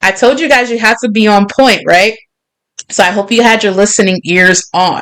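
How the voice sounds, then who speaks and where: A woman with a New York accent at a moderate pace, fairly high in pitch, animated in tone, with ordinary pitch variation. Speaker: podcast host. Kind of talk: casual chat. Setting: livestream with chat.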